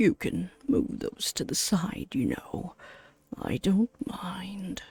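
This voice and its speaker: Someone uses a put-on character voice at a middle pitch, moving at a very slow pace. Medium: game stream. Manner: polite, gentlemanly, warm.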